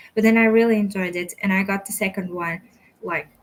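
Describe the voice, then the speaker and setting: This woman has a Portuguese accent and a medium pitch. She speaks at a fairly quick pace with ordinary pitch variation. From Portugal. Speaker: book youtuber. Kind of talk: casual chat.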